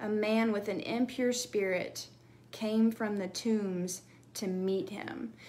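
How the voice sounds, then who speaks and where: With a fairly slow pace and normal pitch movement, a woman is speaking. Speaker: bible teacher. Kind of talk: devotional teaching. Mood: earnest, emotional. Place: home room. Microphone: phone near.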